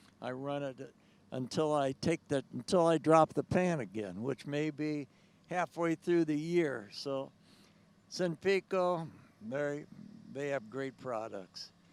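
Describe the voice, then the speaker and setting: A man with an American accent and a fairly high pitch, ordinary pitch variation, a very slow pace and long, frequent pauses, in a dry, close sound with no echo. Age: 80s+. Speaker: tractor pulling champion. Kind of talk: interview. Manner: halting.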